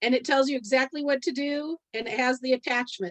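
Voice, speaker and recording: Against a quiet background, a woman speaks in a high pitch. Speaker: direct sales team leader. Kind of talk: training presentation on a team call. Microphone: video call.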